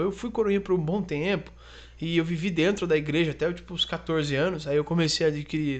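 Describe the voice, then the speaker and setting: Against a quiet background, a man with a high pitch speaks at a fairly quick pace. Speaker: podcast co-host, comedian. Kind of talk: casual chat.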